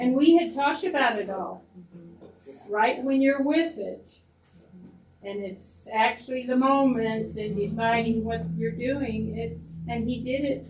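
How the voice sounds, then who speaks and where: A woman speaks at a fairly slow pace with a fairly high pitch and ordinary pitch variation, leaving long, frequent pauses, and there is audible room echo. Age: 80s+. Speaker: audience member. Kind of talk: testimony.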